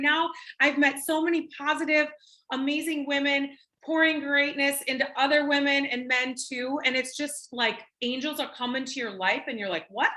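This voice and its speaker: An animated woman with an American accent, high-pitched, bright and sharp, with a raised, projected voice at a moderate pace. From Minnesota. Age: 40s. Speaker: network marketing presenter. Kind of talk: sales pitch.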